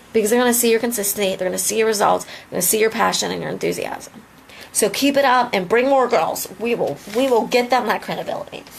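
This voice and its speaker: A woman speaks at a very fast pace in a fairly high voice. Noticeable background noise is present. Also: ordinary pitch variation. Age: 30s. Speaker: lip cosmetics distributor. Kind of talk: motivational live video. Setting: live video. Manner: animated.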